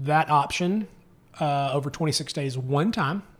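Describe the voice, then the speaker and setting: Male voice, an unremarkable speaking voice, at a moderate pace with ordinary pitch variation, on a very clean recording with a silent background. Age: 30s. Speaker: podcaster and social media creator. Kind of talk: casual chat.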